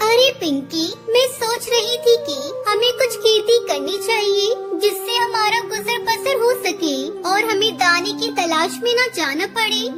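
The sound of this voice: This is a cartoonish character voice at a fairly slow pace. Loud background noise runs underneath. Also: woman, extremely high pitch for a woman.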